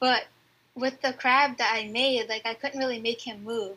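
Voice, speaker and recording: A soft-spoken woman with a bright, sharp tone and a fairly high pitch. She talks at a moderate pace in a flat, monotone delivery. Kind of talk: casual interview. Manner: shy, soft-spoken.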